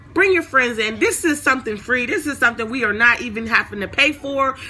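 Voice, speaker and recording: Raised and projected, a woman's high-pitched voice moves at a fairly quick pace with lively intonation and an animated tone. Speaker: online Bible teacher. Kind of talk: livestream Bible talk.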